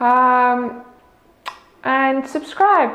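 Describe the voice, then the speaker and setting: Someone with a non-native accent speaks with ordinary pitch variation amid audible room echo. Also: woman. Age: 20s. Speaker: vlogger. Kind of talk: casual vlog monologue. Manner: halting, many fillers.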